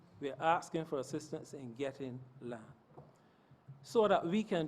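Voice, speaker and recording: A man speaks in a normal speaking voice, fairly high in pitch, with lively intonation at a moderate pace. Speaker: parliamentarian speaking on vocational training. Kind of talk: parliamentary speech.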